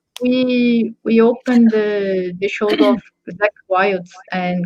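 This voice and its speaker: A woman with a Portuguese accent and fairly even intonation. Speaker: drummer. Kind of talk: casual chat.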